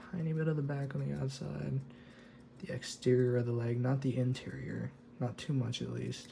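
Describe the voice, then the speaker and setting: Over noticeable background noise, a soft-spoken man talks at a moderate pace. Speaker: miniature painting hobbyist. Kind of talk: tutorial. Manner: halting.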